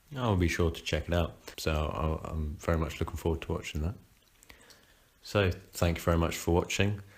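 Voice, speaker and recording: A man speaks at a fairly quick pace in a very deep, low, somewhat breathy voice. His speech has long, frequent pauses. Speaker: podcast co-host. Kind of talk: casual chat. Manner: monotone.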